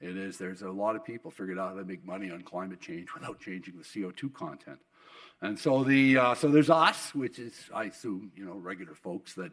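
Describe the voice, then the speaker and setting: A man with a western Canadian accent at a fairly low pitch, very fast pace, very wide pitch swings and big swings in loudness. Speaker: oil industry executive and keynote speaker. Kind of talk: keynote speech. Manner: halting with many repetitions.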